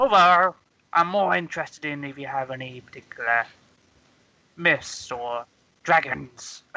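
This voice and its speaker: The speaker performs a put-on character voice at a middle pitch. The pace is moderate, broken by long, frequent pauses. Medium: actual play. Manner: halting, formal.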